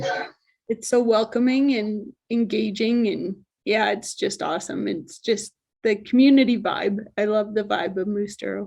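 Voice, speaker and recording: A fairly high-pitched, somewhat breathy woman, fairly slow, with fairly even intonation. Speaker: mountain bike trail society president. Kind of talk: interview answer. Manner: soft-spoken.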